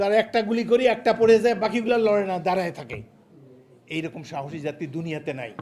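A man's high, animated voice with lively intonation and big swings in loudness. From Bangladesh. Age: 80s+. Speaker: politician and war veteran. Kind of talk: political speech.

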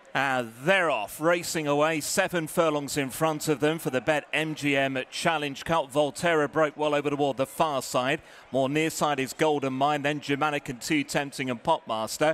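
This is an unremarkable speaking voice. It runs on with hardly any pauses. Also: man, fairly high pitch for a man. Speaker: racecourse commentator. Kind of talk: live horse race commentary. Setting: racecourse PA. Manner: rapid-fire, fluent, building excitement through the finish; clipped, rhythmic delivery of horse names and positions.

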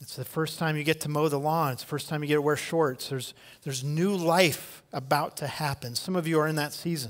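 Using an unremarkable speaking voice, a man talks at a fairly quick pace with hardly any pauses, a fairly high pitch and fairly even intonation. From US Midwest. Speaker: pastor. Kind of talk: sermon. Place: church. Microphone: headset.

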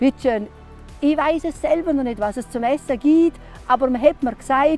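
Faint music plays in the background as a woman with a high pitch and lively intonation speaks in a dry sound with no echo. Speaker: storyteller and hiking guide; former school teacher. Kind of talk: interview answer. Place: open country. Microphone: lapel.

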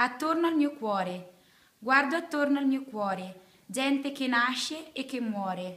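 The voice has a bright, sharp tone and moves at a fairly slow pace, broken by long, frequent pauses. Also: woman, high pitch for a woman. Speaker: poem reader. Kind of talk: poetry reading. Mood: calm, earnest. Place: classroom. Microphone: phone near.

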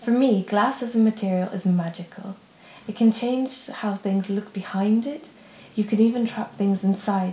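With audible room echo, a woman speaks in an American accent with fairly even intonation. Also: moderate pace. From Poland / United States. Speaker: glass artist. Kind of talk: crowdfunding pitch. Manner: scripted, earnest. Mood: calm, earnest, enthusiastic.

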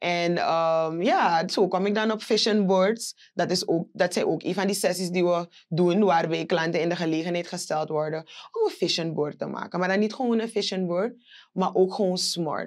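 At a moderate pace, a woman talks with fairly even intonation over a quiet background. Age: 20s. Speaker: business owner; guest. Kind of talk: interview. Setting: studio. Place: studio. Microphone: lapel.

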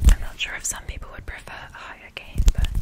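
A soft-spoken woman talks at a very fast pace over loud background noise. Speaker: ASMR creator. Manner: soft close-mic ASMR voice. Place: home room. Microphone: studio mic.

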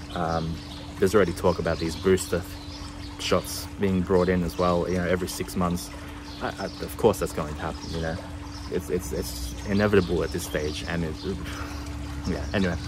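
A man's very deep, low voice with an Australian accent, long, frequent pauses and noticeable background noise. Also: ordinary pitch variation, fairly quick pace. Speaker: travel vlogger. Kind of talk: casual vlog talk to camera. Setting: outdoors. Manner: halting, many fillers.

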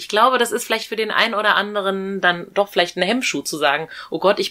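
A woman at a very fast pace, with hardly any pauses. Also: quiet background. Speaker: podcast host, reporter. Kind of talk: interview questions.

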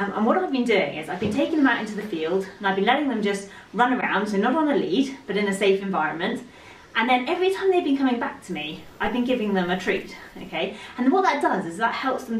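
A woman talks at a very fast pace, with audible room echo around her voice. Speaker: horse trainer. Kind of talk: casual vlog chat. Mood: cheerful, upbeat. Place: home room. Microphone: camera far.

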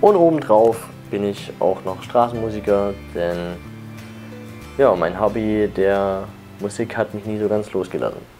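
A man with a fairly low pitch speaks at a fairly slow pace, with long, frequent pauses, ordinary pitch variation and faint music in the background. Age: 20s. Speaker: sound engineer and street musician. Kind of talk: interview; interview answer. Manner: hesitant with fillers. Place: home room. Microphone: lapel.

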